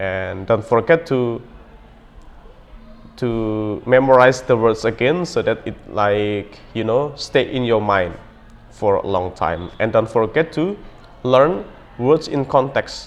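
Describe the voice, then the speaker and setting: A man's medium-pitched voice at a very slow pace, with long, frequent pauses and music in the background. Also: ordinary pitch variation. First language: not English. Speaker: language learning vlogger. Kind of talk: motivational talk to camera. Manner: hesitant with many fillers.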